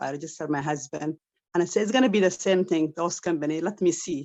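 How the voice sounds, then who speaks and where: Against a quiet background, a woman with an Arabic accent talks at a very fast pace and a fairly low pitch, with ordinary pitch variation. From Saudi Arabia, Somali family. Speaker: online business member. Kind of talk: testimony. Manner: halting.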